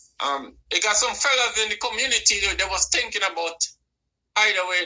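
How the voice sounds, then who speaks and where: A man's lively intonation in a Caribbean accent. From Caribbean, Saint Vincent and Trinidad. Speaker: musician. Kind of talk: interview. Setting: live online broadcast, on the line.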